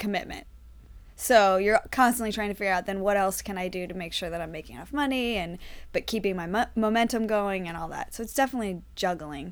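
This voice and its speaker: A woman speaks in a plain, everyday voice at medium pitch. The recording is very clean, with a silent background. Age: 30s. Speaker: actress and improviser. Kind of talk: casual chat.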